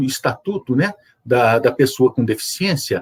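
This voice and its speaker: A man with lively intonation. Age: 60s. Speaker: judge and wheelchair user guest. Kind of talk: interview on accessibility. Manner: hesitant, many filler 'é'.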